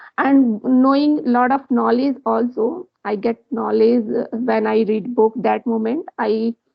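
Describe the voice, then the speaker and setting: A woman with a fairly high pitch speaks at a fairly slow pace with ordinary pitch variation. She has hardly any pauses, and music plays in the background. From India, Jharkhand. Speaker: English learner, conversation partner. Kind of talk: casual chat. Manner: halting.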